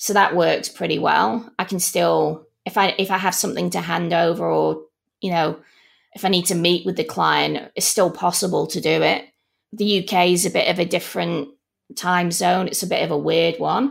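A woman speaks with a Manchester accent at a moderate pace. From Manchester, England. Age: 40s. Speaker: learning experience designer. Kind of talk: interview.

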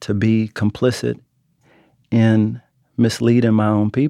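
A medium-pitched male voice with an American accent and a dark, mellow tone at a fairly slow pace, dry and close with no echo on a very clean recording with a silent background. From Texas, Oak Cliff near Dallas. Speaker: writer. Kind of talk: interview conversation.

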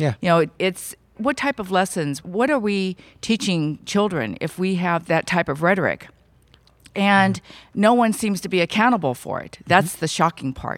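An ordinary speaking voice with an American accent moves at a moderate pace, its intonation lively and its loudness swinging widely. The recording is very clean, with a silent background. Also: woman, medium pitch for a woman. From California, Bay Area. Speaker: civil rights advocate. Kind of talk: interview.

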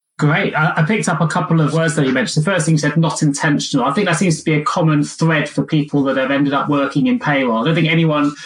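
Over noticeable background noise, a man with a British accent talks at a very fast pace in a fairly high pitch. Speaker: podcast host and recruiter. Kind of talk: interview.

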